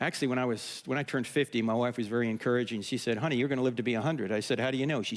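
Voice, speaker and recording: Very fast and animated, a man talks in a medium pitch with ordinary pitch variation. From US Northeast, New Jersey. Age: 60s. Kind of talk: conference talk. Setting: stage with audience.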